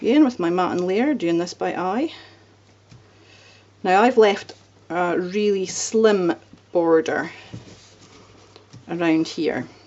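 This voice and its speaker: A woman with a Scottish accent speaks very slowly at medium pitch, pausing long and often. Noticeable background noise sits behind her. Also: lively intonation, big swings in loudness. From Scotland. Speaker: card-making crafter. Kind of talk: crafting tutorial. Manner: casual, relaxed.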